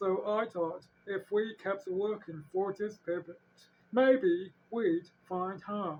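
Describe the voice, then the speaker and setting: A put-on character voice at a middle pitch. The pace is very slow. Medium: read story. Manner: slow, gentle.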